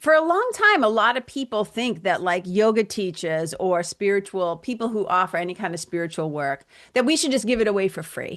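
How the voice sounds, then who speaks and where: In a Boston accent, a woman with a medium pitch talks in an animated tone at a fairly quick pace, with lively intonation and hardly any pauses. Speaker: spiritual coach and yoga teacher. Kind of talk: podcast interview conversation.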